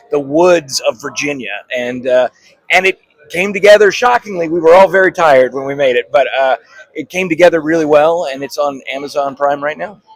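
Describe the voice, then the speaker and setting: An ordinary speaking voice from a man, fairly high in pitch with ordinary pitch variation, at a fairly quick pace in a dry, close sound with no echo. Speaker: voice actor and filmmaker. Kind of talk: interview answer. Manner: casual, upbeat.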